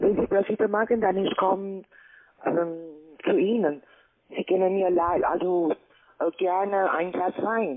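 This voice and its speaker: A woman at a fairly slow pace, with ordinary pitch variation. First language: not German (speaking German). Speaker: scam call center agent. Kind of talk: sales pitch. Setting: phone call. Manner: halting. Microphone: phone line.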